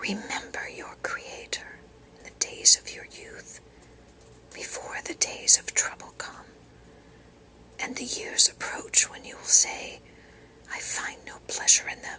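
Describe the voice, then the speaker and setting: Whispering at a fairly slow pace with long, frequent pauses, a woman is heard against noticeable background noise. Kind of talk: whispered Bible reading for sleep. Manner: whispered, soft-spoken.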